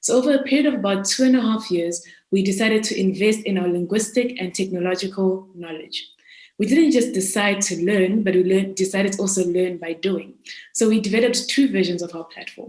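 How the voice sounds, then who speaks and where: In a Zimbabwean accent, a woman with a medium pitch talks at a fairly quick pace with ordinary pitch variation. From South Africa (raised there from age seven, born in Zimbabwe). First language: Shona. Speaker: student entrepreneur. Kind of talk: pitch presentation. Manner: formal.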